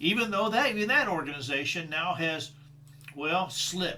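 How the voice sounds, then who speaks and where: In a room with audible echo and noticeable background noise, a man speaks fairly slowly at a high pitch with lively intonation. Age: 60s. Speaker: leadership trainer. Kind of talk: solo talk on personal values. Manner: halting, repeats words.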